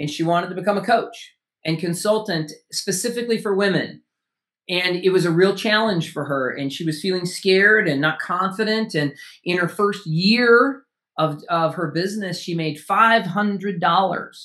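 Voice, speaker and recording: A man projects a raised, animated voice with a bright, sharp tone at a high pitch, with ordinary pitch variation. He keeps a moderate pace on a very clean recording with a silent background. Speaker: author and speaker. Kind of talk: casual interview chat. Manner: high energy, animated.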